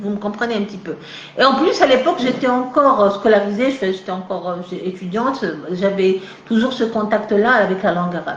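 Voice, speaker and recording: A woman speaks at a fairly quick pace and a medium pitch with ordinary variation. Noticeable background noise and audible room echo fill the recording. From Algeria, Kabylie (Tizi Ouzou). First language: Kabyle mixed with French (speaking French). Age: 40s. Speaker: novelist and literature professor. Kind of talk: live interview. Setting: live video stream. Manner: halting, many hesitations.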